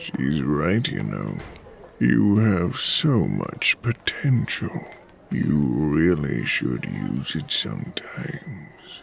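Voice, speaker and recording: Using a put-on character voice, a man talks very slowly with a very deep, low pitch. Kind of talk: horror villain. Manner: whispering, cruel and gloating.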